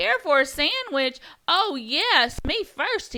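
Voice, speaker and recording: A woman puts on a character voice at a high pitch, talking at a very slow pace. Her pitch swings very widely. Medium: read story. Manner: eager, pushy.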